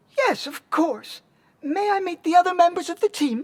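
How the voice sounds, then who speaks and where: A squeaky, put-on character voice sits at an extremely high pitch. The pace is moderate. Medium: video game. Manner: polite, perky.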